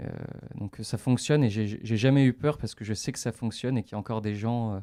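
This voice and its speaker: Speaking at a fairly quick pace with fairly even intonation, a man with a medium-pitched voice is heard on a very clean recording with a silent background and a dry, close sound with no echo. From France, Metz (Lorraine). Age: 20s. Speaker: adventurer. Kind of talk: radio interview. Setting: radio studio. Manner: hesitant, many fillers.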